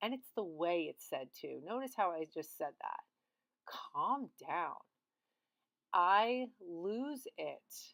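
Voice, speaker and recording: A woman's voice, dry and close with no echo. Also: very clean recording, silent background. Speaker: art therapist. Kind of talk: vlog monologue. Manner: animated.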